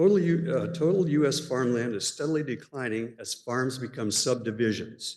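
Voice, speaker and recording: A man with a Californian accent speaks at a moderate pace, with hardly any pauses. His pitch is medium with ordinary variation. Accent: Californian American. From California, Stanislaus County. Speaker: public commenter. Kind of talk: public comment speech. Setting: city planning commission meeting.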